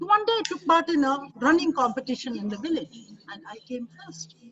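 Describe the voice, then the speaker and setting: A woman speaks at a fairly quick pace with a Keralan accent. Her pitch is high. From India, Kerala. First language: Malayalam. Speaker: expert speaker. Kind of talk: webinar talk. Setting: online webinar.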